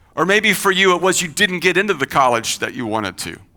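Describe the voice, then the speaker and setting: With a slight Kentucky accent, a man speaks at a moderate pace in a high, bright, sharp voice, his animated tone sweeping through very wide pitch swings on a very clean recording with a silent background. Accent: slight Kentucky twang. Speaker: pastor. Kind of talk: sermon. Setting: church. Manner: conversational, animated.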